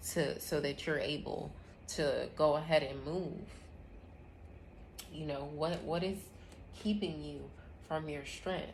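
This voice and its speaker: Vocal fry runs through this fairly slow delivery, its fairly even intonation carried on audible room echo. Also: woman. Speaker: tarot reader and astrology host. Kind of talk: live tarot reading.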